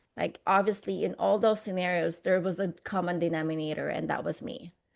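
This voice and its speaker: This woman has a Filipino accent, a fairly low pitch and vocal fry, with fairly even intonation. She talks at a fairly quick pace against a quiet background. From Philippines. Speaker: motivational speaker. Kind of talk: interview. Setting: podcast.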